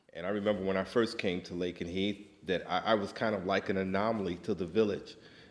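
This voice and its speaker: Speaking very fast in a New York accent, a man uses a very deep, low pitch and a monotone, flat intonation. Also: hardly any pauses. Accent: New York American. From US, New York City. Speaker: immigrant interviewee. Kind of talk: interview, personal recollection.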